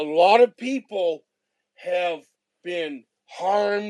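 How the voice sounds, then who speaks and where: A man's voice sits high in pitch, with lively intonation. The sound is dry and close, with no echo. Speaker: audience participant. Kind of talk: casual discussion. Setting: online audio space.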